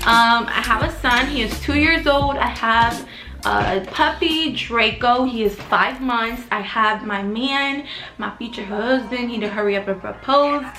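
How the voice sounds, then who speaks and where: Amid noticeable background noise and audible room echo, a woman talks at a fairly slow pace and a fairly high pitch, with ordinary pitch variation. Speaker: YouTuber and young mom vlogger. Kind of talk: casual vlog storytelling. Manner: shaky voice; rambling, chatty.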